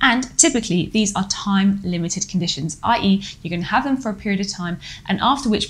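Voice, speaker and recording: A woman talks at a very fast pace with ordinary pitch variation. Her voice is somewhat breathy. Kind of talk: explainer lecture. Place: home room.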